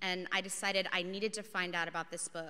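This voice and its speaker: At a moderate pace, a woman speaks with a fairly low pitch, a bright, sharp tone and fairly even intonation. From US South. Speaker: nonprofit executive director; speaker. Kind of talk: speech. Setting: stage with audience. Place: hall. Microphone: podium.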